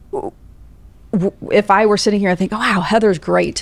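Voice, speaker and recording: This woman talks at a fairly slow pace with vocal fry and fairly even intonation. The recording is very clean, with a silent background. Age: 40s. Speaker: podcast host and financial advisor. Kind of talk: interview conversation.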